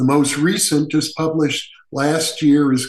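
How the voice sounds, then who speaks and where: The speaker has an American accent. The delivery is fairly slow and somewhat breathy. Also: man. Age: 70s. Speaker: parapsychologist. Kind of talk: interview.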